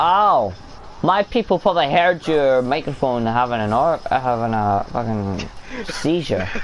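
A man talks at a fairly slow pace with very wide pitch swings. Light background noise can be heard. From Scotland. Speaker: gaming streamer. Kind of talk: casual gaming chat. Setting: online voice chat.

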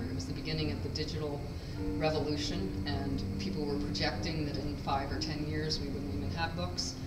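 Over music in the background, a woman talks at a fairly quick pace. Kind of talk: gallery talk. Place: hall.

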